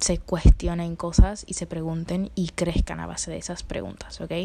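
A woman's somewhat breathy, dark, mellow tone at a fairly low pitch and moderate pace. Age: 20s. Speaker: podcaster, psychology student. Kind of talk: casual monologue.

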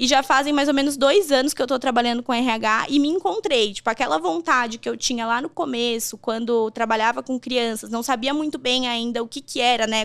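This woman has a high-pitched voice with ordinary pitch variation. She talks at a fairly quick pace with hardly any pauses. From Rio Grande do Sul, Brazil (Encantado). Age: 20s. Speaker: HR professional. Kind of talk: podcast interview. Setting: studio. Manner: talkative, lively.

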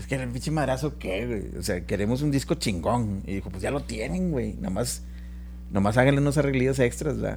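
With music in the background and audible room echo, a man with a very deep, low voice talks at a fairly quick pace. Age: 50s. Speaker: musician. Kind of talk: casual chat.

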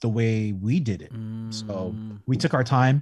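A man talks in a Californian accent with a dark, mellow tone at medium pitch. The background is quiet. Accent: Californian American English. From Northern California. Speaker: entrepreneur. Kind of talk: casual chat.

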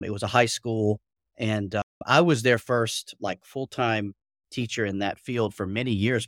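A man talks at a fairly low pitch and a moderate pace. The sound is dry and close, with no echo. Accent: Southern US. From US South, Atlanta. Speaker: curriculum coach. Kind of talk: casual interview chat. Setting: video call.

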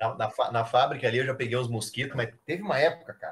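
A man in a plain, everyday voice, fairly quick, with lively intonation. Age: 30s. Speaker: airsoft player and photographer. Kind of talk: casual chat.

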